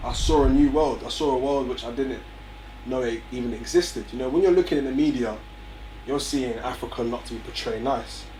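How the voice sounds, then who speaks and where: Speech comes at a fairly quick pace, with audible room echo and noticeable background noise. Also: man. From North London, England (Barnet). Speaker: young entrepreneur, music company founder. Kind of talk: interview.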